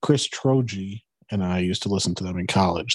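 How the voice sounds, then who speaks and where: A man with an American accent talks at a fairly quick pace in an ordinary speaking voice, fairly low in pitch, with a dry, close sound and no echo. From Wisconsin, US Midwest. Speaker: cranberry farm worker. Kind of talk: casual chat.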